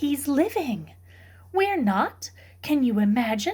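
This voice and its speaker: Using a put-on character voice, a woman speaks high in pitch at a fairly slow pace. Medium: read story. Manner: warm, firm.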